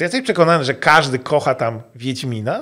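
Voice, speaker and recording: A man's voice against a quiet background. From Poland. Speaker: game developer. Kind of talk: interview. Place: studio. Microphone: studio mic.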